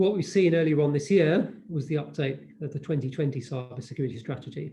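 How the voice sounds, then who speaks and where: A man with a British accent, a dark, mellow, somewhat breathy tone, ordinary pitch variation and a very fast pace. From United Kingdom. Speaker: diplomat speaking on cybersecurity. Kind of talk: panel presentation. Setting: online webinar.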